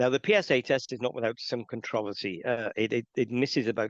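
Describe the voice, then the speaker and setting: Against a quiet background, a man with a Welsh accent talks very fast at medium pitch with fairly even intonation, the sound dry and close with no echo. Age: 60s. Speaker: men's health charity representative. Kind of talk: interview.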